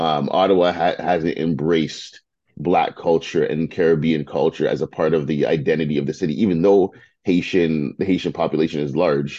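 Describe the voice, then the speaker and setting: Over a quiet background, a man talks at a moderate pace with fairly even intonation. His very deep, low voice has a dark, mellow tone. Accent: Toronto. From Toronto and Mississauga, Canada. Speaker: media founder and CEO. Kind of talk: casual interview.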